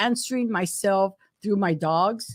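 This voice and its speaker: A woman's medium-pitched speech is captured on a very clean recording with a silent background. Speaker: insurance agent, live show co-host. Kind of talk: casual chat. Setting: live stream. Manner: mumbling.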